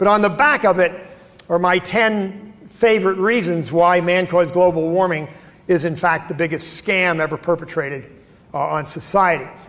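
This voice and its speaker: Against noticeable background noise, a man with an American accent talks at a high pitch and moderate pace with ordinary pitch variation. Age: 70s. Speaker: keynote speaker. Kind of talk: conference talk. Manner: hesitant, many fillers.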